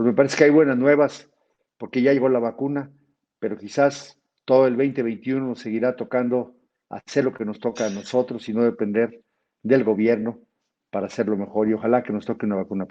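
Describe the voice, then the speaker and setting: A man's medium-pitched, dark, mellow voice at a fairly quick pace against a quiet background. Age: 60s. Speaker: physician and federal legislator. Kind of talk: webinar lecture.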